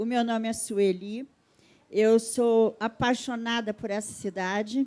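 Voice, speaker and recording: Very slow, monotone delivery with flat intonation. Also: woman. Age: 70s. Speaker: audience member, community health agent. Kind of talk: audience remark at a panel. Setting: stage event with audience.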